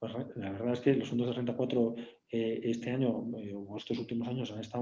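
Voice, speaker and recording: A man speaks at a medium pitch in a dark, mellow tone. His pace is moderate, and audible room echo fills the recording. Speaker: bank executive presenting webinar. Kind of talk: webinar product demo. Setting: online webinar. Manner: hesitant, many fillers.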